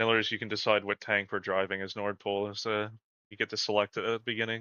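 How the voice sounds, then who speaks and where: A man with a fairly low pitch talks at a very fast pace in a monotone, flat delivery with a Canadian accent. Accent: Canadian, mistaken for American by chat. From Canada. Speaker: gaming community manager, stream host. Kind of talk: live gameplay stream chat.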